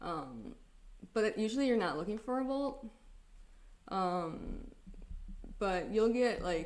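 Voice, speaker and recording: In an American accent, a woman mumbles at a very slow pace, with long, frequent pauses and audible room echo. Her pitch is fairly high and her intonation lively. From Wisconsin, US Midwest. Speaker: geophysicist presenter. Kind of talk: livestream presentation. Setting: live stream. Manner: mumbling; casual, filler-heavy.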